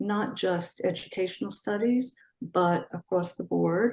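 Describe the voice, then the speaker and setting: With a Philadelphia accent, a woman talks at a medium pitch and with fairly even intonation. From US Northeast, Philadelphia. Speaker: educator and civics advocate. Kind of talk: interview. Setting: video call.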